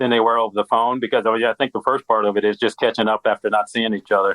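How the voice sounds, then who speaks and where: A man with an American accent speaks in a medium pitch. His intonation is monotone and flat. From US Midwest. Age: 60s. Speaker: credit union strategist at a bank. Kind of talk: podcast interview.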